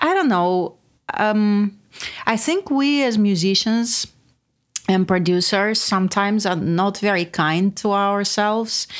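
The speech comes at a very slow pace with very even loudness. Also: woman. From Russia. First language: Russian. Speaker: music producer and songwriter. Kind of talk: casual chat. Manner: halting.

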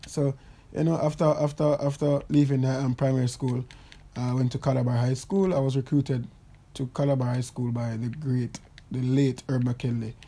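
Somewhat breathy and dark, mellow in tone, a man's voice sits at a medium pitch and moves at a moderate pace. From Jamaica. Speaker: Olympic athlete and podcast host. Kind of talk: casual monologue. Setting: recording in bed at home. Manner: animated.

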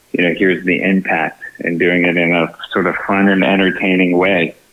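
A man speaks at a moderate pace in a very deep, low monotone, with noticeable background noise. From Texas, San Antonio. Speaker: film producer and farming entrepreneur. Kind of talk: podcast interview.

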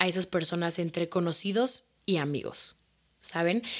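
The speaker has a Mexico City accent. Pitch varies in an ordinary way. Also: woman. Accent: Mexican Spanish (Mexico City). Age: 20s. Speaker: podcast host and social media creator. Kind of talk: casual personal monologue.

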